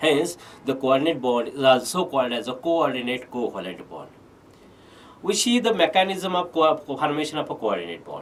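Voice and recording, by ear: Moving at a moderate pace, a man speaks in a fairly bright tone with big pitch swings.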